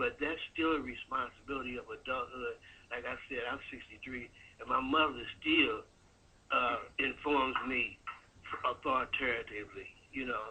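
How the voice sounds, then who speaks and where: Long, frequent pauses break up a man's speech, which otherwise moves at a moderate pace. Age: 60s. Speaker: caller. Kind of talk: call-in comment.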